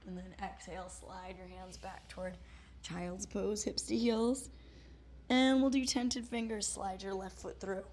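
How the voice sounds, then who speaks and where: With audible room echo, a woman talks fairly slowly. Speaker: yoga instructor. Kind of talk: guided yoga class instruction. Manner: calm, encouraging cueing.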